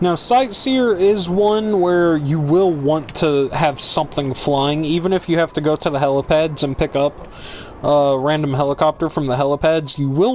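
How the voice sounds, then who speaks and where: A fairly high-pitched man, varying his pitch in an ordinary way, speaks at a moderate pace amid noticeable background noise. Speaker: gaming YouTuber. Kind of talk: gameplay tutorial. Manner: loud, hyper.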